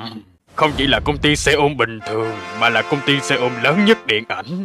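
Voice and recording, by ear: Doing a cartoonish character voice at a medium pitch, a man talks at a fairly quick pace over faint music in the background.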